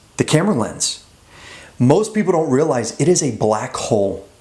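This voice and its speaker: A moderate pace with very wide pitch swings over noticeable background noise. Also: man. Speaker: actor and vlogger giving on-camera tips. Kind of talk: tutorial to camera. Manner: energetic, enthusiastic.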